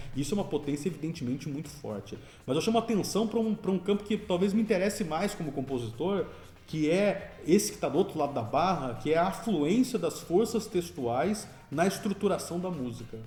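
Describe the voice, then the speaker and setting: A man speaks at a fairly quick pace with a high pitch and lively intonation. There is noticeable background noise and audible room echo. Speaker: composer and music lecturer. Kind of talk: lecture. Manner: fast.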